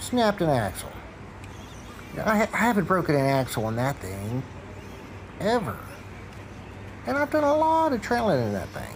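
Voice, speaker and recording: Over noticeable background noise, a man with an American accent speaks high for a man, with very wide pitch swings and long, frequent pauses. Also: moderate pace. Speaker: RC crawler hobbyist vlogger. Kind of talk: casual vlog narration.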